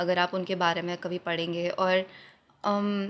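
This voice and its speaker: A woman's medium-pitched voice, an ordinary speaking voice, on a very clean recording with a silent background. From Jodhpur, Rajasthan. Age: 20s. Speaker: poet, spoken word artist. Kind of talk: interview answer.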